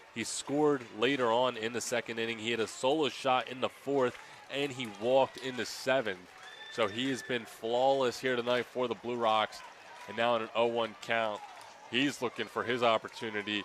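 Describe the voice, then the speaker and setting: Noticeable background noise sits behind a man talking at a moderate pace, his medium-pitched voice keeping a fairly even intonation. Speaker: radio baseball broadcaster, play-by-play announcer. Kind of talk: baseball play-by-play radio call.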